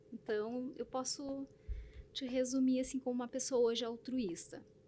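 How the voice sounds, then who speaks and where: A woman with a high-pitched voice speaks at a moderate pace and with fairly even intonation over noticeable background noise. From southern Brazil, Blumenau (Santa Catarina). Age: 40s. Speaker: presenter, manager and writer. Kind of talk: interview.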